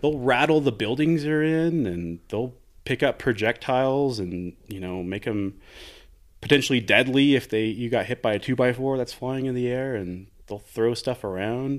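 Ordinary pitch variation and a moderate pace mark this man with an American accent in a normal speaking voice. The recording is very clean with a silent background. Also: medium pitch for a man. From Texas, El Paso. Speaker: Antarctic station worker. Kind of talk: casual interview conversation. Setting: in person, host's home in Crestone.

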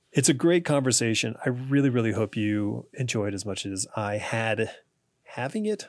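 In a very clean recording with a silent background, a man speaks at medium pitch with ordinary pitch variation in an unremarkable speaking voice. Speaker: podcast host and comics writer. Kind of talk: casual interview.

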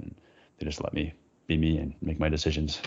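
Someone with a Canadian accent talks at a very fast pace. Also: man. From Vancouver, Canada. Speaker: blogger and entrepreneur. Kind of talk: casual chat.

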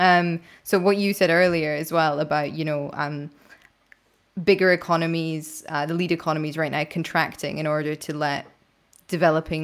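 A woman's pitch is very deep and low. She talks at a fairly quick pace. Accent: Scottish. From Scotland. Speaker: podcast host and investigative journalist. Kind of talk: interview conversation. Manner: informal, conversational.

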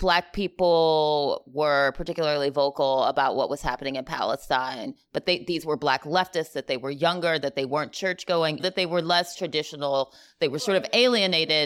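In a very clean recording with a silent background, a woman talks at a moderate pace, her very deep, low voice rising and falling with lively intonation. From US South. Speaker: podcast co-host. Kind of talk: casual chat. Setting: in person live recording.

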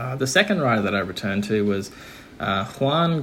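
Using lively intonation, a man with a medium pitch talks at a moderate pace. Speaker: listener contributor. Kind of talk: recorded audio message.

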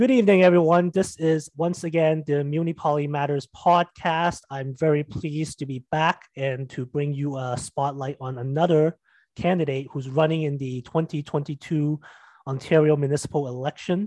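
An ordinary speaking voice, a man's, pitched fairly high with fairly even intonation. He keeps a moderate pace, with a dry, close sound with no echo. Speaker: podcast host. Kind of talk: casual interview.

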